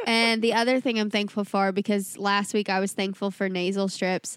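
A woman speaks with an American accent at a medium pitch. Background noise is noticeable. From US South. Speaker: podcast co-host. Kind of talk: casual chat. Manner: animated.

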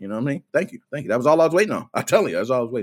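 A man talks in an animated tone at a fairly high pitch, with vocal fry in his voice. The recording is very clean, with a silent background. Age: 30s. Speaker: gaming streamer. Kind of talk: live stream rant.

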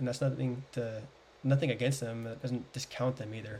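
With an American accent, a man speaks at a fairly quick pace in a dark, mellow, somewhat breathy tone, keeping his intonation fairly even. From US South. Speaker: podcast guest. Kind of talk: casual chat.

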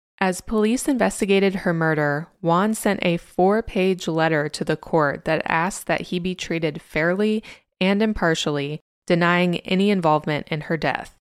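The recording is very clean, with a silent background. A woman speaks at a moderate pace and a fairly low pitch in an ordinary speaking voice. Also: ordinary pitch variation. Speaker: podcast host. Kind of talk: true-crime narration. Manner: measured, serious; sardonic asides.

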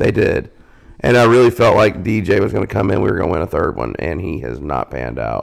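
Using vocal fry and very wide pitch swings, a man with a Southern US accent speaks at a fairly quick pace. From US South, South Carolina. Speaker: podcast co-host. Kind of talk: casual chat.

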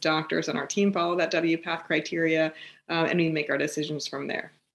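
Against a quiet background, a woman speaks at a fairly low pitch with an American accent. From US West Coast, San Francisco East Bay. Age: 40s. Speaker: facial surgeon. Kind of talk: interview, explaining medical topic. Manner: hesitant, many fillers.

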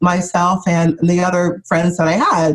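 At a moderate pace, a woman talks in a somewhat breathy voice at a medium pitch. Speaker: business trainer and author. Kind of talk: podcast interview, conversational.

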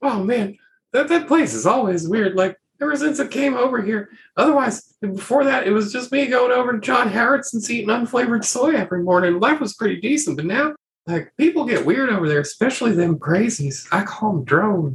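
Using a put-on character voice, a man speaks at a high pitch and a fairly quick pace with very wide pitch swings. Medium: actual play. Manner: rambling, slangy, casual.

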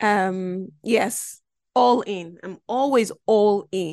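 The backdrop is quiet. A woman talks in an animated tone. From Belgium (Nigerian family). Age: 30s. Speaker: podcast host. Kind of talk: casual monologue. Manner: animated, laughing often.

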